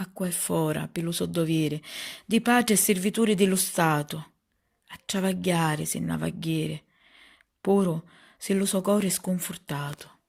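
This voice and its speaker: A woman's fairly low voice in a Sicilian accent, solemn in tone, at a fairly slow pace with ordinary pitch variation and long, frequent pauses. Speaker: poet. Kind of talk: poetry reading. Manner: emotional, solemn.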